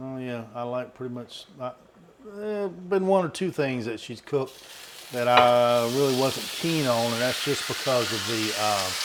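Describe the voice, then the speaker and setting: With noticeable background noise, a man with a Southern US accent speaks at a medium pitch and a fairly slow pace, using lively intonation. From US South. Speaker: vlogger. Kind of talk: casual chat.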